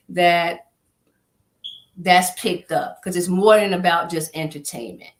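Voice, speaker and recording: A woman speaks at a fairly low pitch and a fairly slow pace. Hers is an unremarkable speaking voice with fairly even intonation. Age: 50s. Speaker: nonprofit executive director. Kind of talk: interview.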